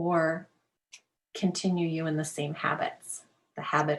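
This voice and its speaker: A woman's very deep, low voice, somewhat breathy, at a moderate pace with monotone, flat intonation. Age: 50s. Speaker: life coach. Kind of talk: interview. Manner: casual, filler-heavy.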